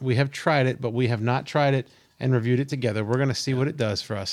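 A man with a medium pitch talks at a very fast pace. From Pennsylvania. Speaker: podcast host. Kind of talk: casual chat.

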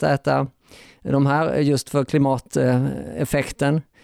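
Dry, close male speech with no echo, on a very clean recording with a silent background. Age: 40s. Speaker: animal rights activist. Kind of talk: panel discussion. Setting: hotel recording venue.

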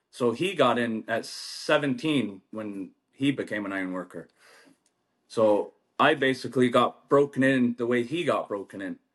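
A man with an American accent and a normal speaking voice talks at a fairly slow pace with a medium pitch and lively intonation against a quiet background. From US-Canada border, Mohawk reservation. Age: 30s. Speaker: union ironworker. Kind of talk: casual chat.

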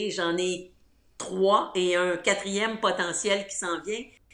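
A woman speaks at a very slow pace. The room echo is audible and there is noticeable background noise. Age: 60s. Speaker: outdoor enthusiast, former journalist and radio host. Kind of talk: interview.

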